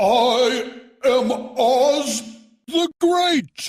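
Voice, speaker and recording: A put-on character voice with a fairly high pitch is heard with music in the background. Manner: quiet, frightened.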